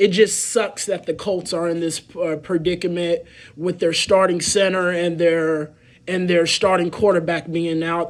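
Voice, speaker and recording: A high-pitched man with an American accent talks with fairly even intonation on a very clean recording with a silent background. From Indianapolis, Indiana (east side). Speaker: sports podcast host. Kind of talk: solo sports podcast commentary. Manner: halting, many fillers.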